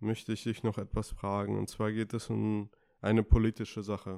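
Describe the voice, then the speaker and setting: This man's monotone, flat intonation comes through on a very clean recording with a silent background. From Karlsruhe, Germany. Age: 20s. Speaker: podcast host and nurse. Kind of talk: interview. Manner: hesitant, many fillers.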